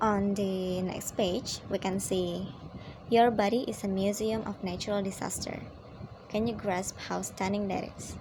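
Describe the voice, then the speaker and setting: A woman speaks at a medium pitch and a fairly slow pace, her intonation monotone and flat. Audible room echo surrounds her voice. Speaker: student. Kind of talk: poem analysis. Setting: at home at night.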